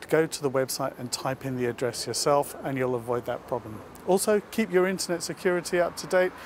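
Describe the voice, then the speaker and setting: Lively, fairly quick male speech at medium pitch, with noticeable background noise. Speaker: tech help video presenter. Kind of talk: tutorial. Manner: speaking quietly.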